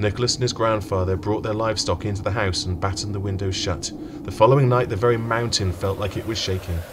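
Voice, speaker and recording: Over noticeable background noise, a man with a British accent and a fairly low pitch speaks very fast in a dramatic tone with fairly even intonation. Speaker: audiobook narrator. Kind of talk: audiobook narration of a fairy-tale story, with character voices. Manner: storyteller's measured, dramatic delivery; shifts into distinct character voices.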